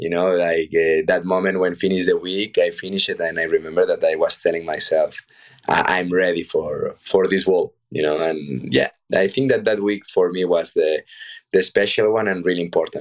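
A Spanish accent at a moderate pace. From Spain. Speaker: tennis coach and former pro player. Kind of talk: interview. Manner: halting.

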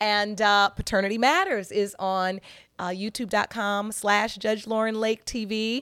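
A woman at medium pitch and a fairly slow pace, with fairly even intonation and a normal speaking voice, on a very clean recording with a silent background. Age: 50s. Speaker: TV judge. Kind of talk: casual chat.

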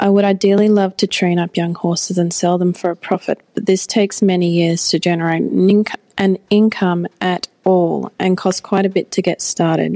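In a dry, close recording with no echo, a woman of medium pitch speaks in a dark, mellow tone with monotone, flat intonation, very even loudness, a moderate pace, and hardly any pauses. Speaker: listener. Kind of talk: recorded listener question. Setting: audio message.

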